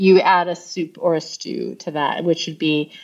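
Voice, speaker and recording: A woman with an American accent, at a moderate pace, against a quiet background. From United States. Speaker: author and researcher. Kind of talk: interview. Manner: animated, with false starts.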